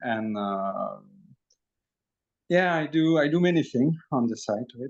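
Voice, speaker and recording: A man speaks with a French accent. His fairly high pitch moves with lively intonation. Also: fairly slow pace. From Belgium. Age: 40s. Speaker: energy healer and channeler. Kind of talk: interview testimony. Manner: hesitant, many fillers.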